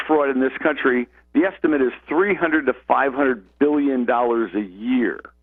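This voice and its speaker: A man talks at a fairly high pitch with a plain, everyday voice. His moderate pace, very even loudness and ordinary pitch variation hold throughout. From US Midwest, Lorain County, Ohio. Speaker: tax attorney, legal analyst. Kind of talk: radio talk show debate.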